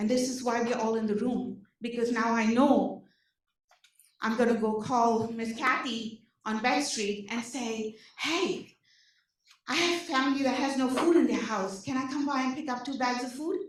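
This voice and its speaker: A woman with an Indian accent speaks at a moderate pace and high pitch, with ordinary pitch variation. Audible room echo surrounds her voice. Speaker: social services case manager. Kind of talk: presentation to community meeting. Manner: animated.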